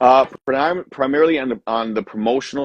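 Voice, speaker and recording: An American man with an unremarkable speaking voice talks at a moderate pace, with ordinary pitch variation. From Miami, Florida, US. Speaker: music producer and promoter. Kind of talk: interview.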